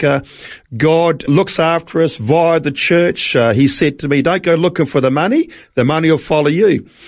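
Here a man speaks with a New Zealand accent at a moderate pace. His pitch is fairly high and his intonation fairly even. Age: 60s. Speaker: traveling evangelist. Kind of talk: interview testimony.

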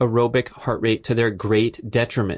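Heard in a very clean recording with a silent background and a dry, close sound with no echo, a man speaks at medium pitch. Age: 50s. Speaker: podcast host, author and athlete. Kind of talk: solo educational monologue. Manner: animated.

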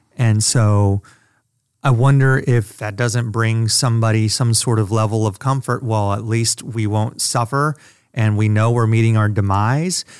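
A man with an ordinary speaking voice talks fairly slowly at medium pitch with fairly even intonation. The recording is very clean with a silent background. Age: 40s. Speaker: podcast producer. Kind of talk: casual chat.

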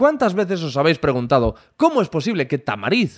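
Recorded very cleanly with a silent background and a dry, close sound free of echo, a man speaks at a high pitch with very wide pitch swings. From Spain, Galicia (Corcubión). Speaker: podcast host. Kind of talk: scripted intro; casual interview. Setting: in-person interview. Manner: animated.

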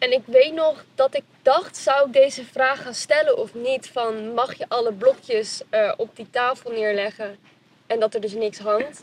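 In a dry, close sound with no echo, a woman speaks in a high voice with ordinary pitch variation. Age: 20s. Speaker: reality show contestant, recent design graduate. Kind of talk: casual interview.

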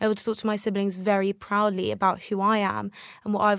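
The intonation is monotone and flat, with a dry, close sound and no echo. It is a very clean recording with a silent background. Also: woman. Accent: British. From England. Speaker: climate justice activist. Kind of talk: interview. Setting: studio.

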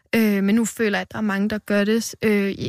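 A woman speaks at medium pitch and a moderate pace, in a monotone, flat intonation. The recording is very clean with a silent background and a dry, close sound with no echo. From Denmark, western Jutland. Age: 20s. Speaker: poet. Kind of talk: poetry reading; interview. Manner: halting.

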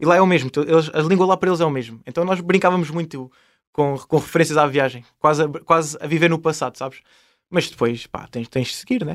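In a very clean recording with a silent background, a man with an ordinary speaking voice talks at a fairly quick pace, his pitch fairly high with ordinary variation. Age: 20s. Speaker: traveller and travel YouTuber. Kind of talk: casual interview.

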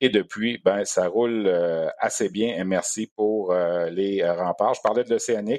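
With a Quebec accent, the speaker talks at a fairly slow pace with ordinary pitch variation. The sound is dry and close with no echo, over a quiet background. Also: man. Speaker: sports radio host. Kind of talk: sports podcast interview.

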